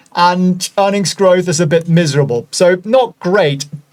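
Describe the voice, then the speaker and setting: Here a man speaks with a German accent at a high pitch. His pitch varies in an ordinary way. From Germany. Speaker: stock analysis video host. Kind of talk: casual, chatty.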